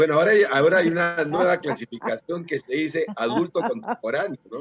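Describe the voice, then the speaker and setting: In a dry, close sound with no echo, a man with a high pitch speaks at a fairly quick pace with lively intonation. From Peru. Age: 60s. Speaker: political candidate. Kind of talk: interview. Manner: halting.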